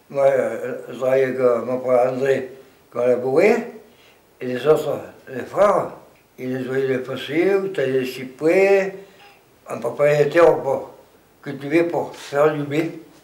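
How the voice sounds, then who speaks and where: Amid noticeable background noise and audible room echo, a man with a fairly high pitch talks at a fairly slow pace, with ordinary pitch variation and long, frequent pauses. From Provence, Vaucluse (Pernes-les-Fontaines area). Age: 80s+. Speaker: retired farmer. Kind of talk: oral history interview. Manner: halting.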